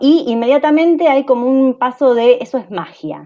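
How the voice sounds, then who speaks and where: A woman's dark, mellow tone over a quiet background. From Argentina. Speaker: AI researcher; panelist. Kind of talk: panel discussion. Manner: hesitant, many fillers. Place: home room. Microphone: video call.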